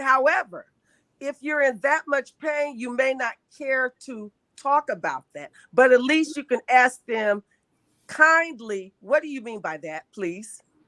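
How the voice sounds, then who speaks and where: A woman speaks very slowly in a high pitch, her bright, sharp tone rising and falling in lively intonation while her loudness swings widely. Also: dry, close sound with no echo. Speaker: sickle cell advocate. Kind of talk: casual chat.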